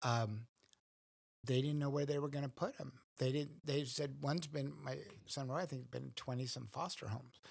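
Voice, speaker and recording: Somewhat breathy, a man with a fairly high pitch speaks at a moderate pace with fairly even intonation. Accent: American. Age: 60s. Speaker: priest. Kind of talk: interview.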